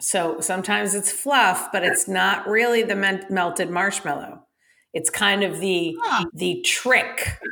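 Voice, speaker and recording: In an unremarkable speaking voice, a woman speaks at a medium pitch and a fairly slow pace, with ordinary pitch variation. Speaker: podcast co-host. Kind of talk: casual chat.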